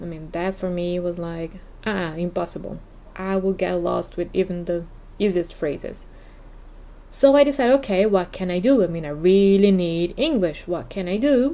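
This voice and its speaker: A woman's dark, mellow tone with a non-native accent. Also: medium pitch for a woman, ordinary pitch variation, moderate pace. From Brazil. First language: Portuguese. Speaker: podcast host and English teacher. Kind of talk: casual podcast monologue.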